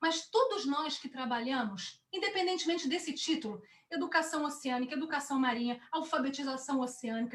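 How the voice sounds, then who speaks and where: This woman's voice sits at a high pitch and keeps a moderate pace. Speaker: ocean educator. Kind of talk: webinar presentation.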